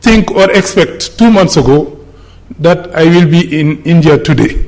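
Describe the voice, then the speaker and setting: The man talks at a fairly slow pace with ordinary pitch variation. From Senegal. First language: French. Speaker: politician. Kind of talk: conference speech.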